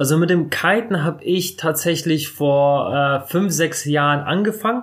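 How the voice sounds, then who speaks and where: On a very clean recording with a silent background, a man with an ordinary speaking voice talks at a fairly high pitch with ordinary pitch variation. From northern Germany, Bremerhaven. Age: 30s. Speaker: surf shop owner and YouTuber. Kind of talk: interview. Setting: his shop.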